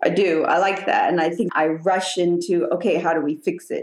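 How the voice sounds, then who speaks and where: Ordinary pitch variation and a moderate pace mark an ordinary speaking voice. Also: woman. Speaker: therapy client. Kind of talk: therapy session.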